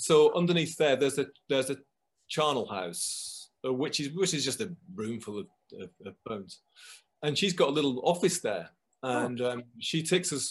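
Vocal fry runs through this man's fairly high-pitched voice. He swings his pitch very widely at a moderate pace. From northern England, near Manchester, Lancashire. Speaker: composer and music producer. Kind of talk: casual chat.

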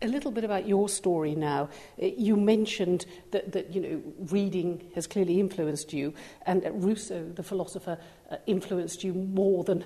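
A woman uses an ordinary speaking voice, with medium pitch, ordinary pitch variation and a moderate pace. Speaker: podcast interviewer. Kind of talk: interview.

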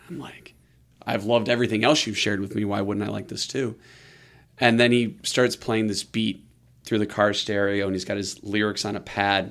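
On a very clean recording with a silent background, a man with a plain, everyday voice speaks at a fairly low pitch with fairly even intonation. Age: 30s. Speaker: music label entrepreneur. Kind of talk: interview conversation.

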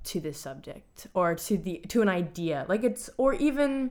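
On a very clean recording with a silent background, a woman with an ordinary speaking voice talks at a fairly slow pace using lively intonation. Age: 20s. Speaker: college student and choreographer. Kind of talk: casual chat.

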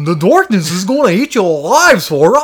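A man's cartoonish character voice, high in pitch, at a moderate pace. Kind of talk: goofy cartoon voice.

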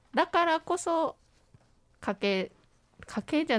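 A woman's voice moves through very wide pitch swings. The recording is very clean with a silent background, and the sound is dry and close with no echo. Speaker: university broadcasting student, scriptwriter. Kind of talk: casual chat. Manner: animated.

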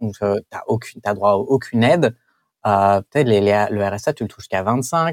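With lively intonation, a man talks at a fairly slow pace in a dry, close sound with no echo. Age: 20s. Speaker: comic book artist. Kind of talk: interview. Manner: halting, with frequent repetitions.

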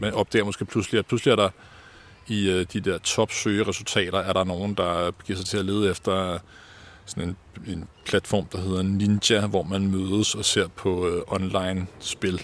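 Pitched very deep and low, a man speaks with monotone, flat intonation at a fairly slow pace. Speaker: university lecturer and researcher. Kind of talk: interview. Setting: outdoors in a garden.

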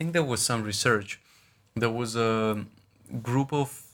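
In a Russian accent, a man speaks at a fairly slow pace with a medium pitch. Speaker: podcast guest, friend and classmate of host. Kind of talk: casual chat.

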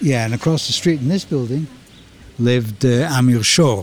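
A man speaks at a moderate pace with ordinary pitch variation, noticeable background noise audible behind him. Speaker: host's father, former soldier. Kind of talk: casual chat. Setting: outdoors walking on a street.

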